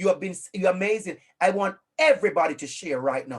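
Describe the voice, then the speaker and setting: The delivery is energetic, with a Jamaican accent and very wide pitch swings. The pace is moderate. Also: man. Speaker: online class facilitator. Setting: video call. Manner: energetic, encouraging.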